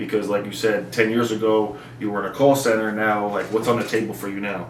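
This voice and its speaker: With noticeable background noise and audible room echo, a man talks very fast in a fairly low, monotone, flat voice. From New Jersey. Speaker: YouTuber interviewer. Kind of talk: interview.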